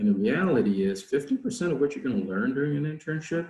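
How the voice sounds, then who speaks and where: A man's dark, mellow voice moves through very wide pitch swings. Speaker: foreign service officer speaking to students. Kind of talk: career Q&A session. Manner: fast.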